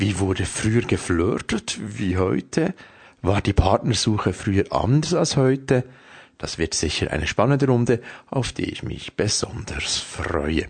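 A man with a fairly low pitch speaks with lively intonation at a fairly slow pace. His voice is somewhat breathy, and the background is quiet. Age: 50s. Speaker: radio show producer. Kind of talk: scripted radio segment.

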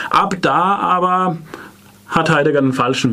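This man talks at a moderate pace with ordinary pitch variation over noticeable background noise. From Italy, Milan. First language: Italian (speaking German). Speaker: doctoral student in philosophy. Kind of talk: panel discussion.

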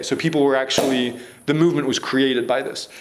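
Speaking at a fairly quick pace, a man with a fairly high voice is heard with audible room echo. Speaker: author and speaker on anarchism. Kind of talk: lecture. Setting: stage with audience. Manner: speeds up when excited.

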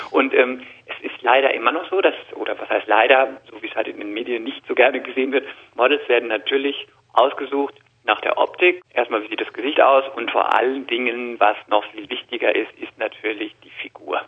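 A man speaks at a moderate pace. His loudness swings in big jumps. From Palatinate, Germany (Speyer). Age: 30s. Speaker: actor and model. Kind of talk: interview. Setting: phone call.

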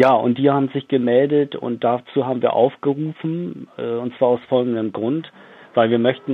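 Speaking at medium pitch, a man keeps a fairly slow pace and fairly even intonation. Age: 40s. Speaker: publisher and author. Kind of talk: interview. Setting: phone call. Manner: halting.

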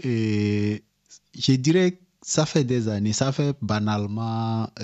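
A man speaks at a very slow pace in a fairly low pitch. His pitch varies in an ordinary way. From Togo. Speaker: refugee radio reporter. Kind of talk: radio interview. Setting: radio studio.

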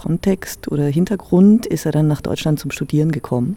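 Her voice has a very deep, low pitch for a woman and a dark, mellow tone, moving at a moderate pace. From Germany, early childhood in Tehran. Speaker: interviewee. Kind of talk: interview testimony.

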